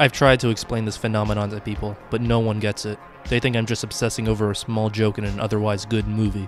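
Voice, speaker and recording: Music plays in the background. A man speaks very fast at a fairly low pitch with monotone, flat intonation. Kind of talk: commentary video talk to camera. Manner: humorous, mock-dramatic.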